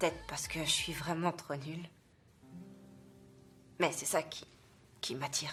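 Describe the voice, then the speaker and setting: Against music in the background, a woman talks at a fairly slow pace with very deep, low pitch, monotone, flat intonation, and long, frequent pauses. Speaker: voice actress. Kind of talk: film and TV dubbing. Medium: dub.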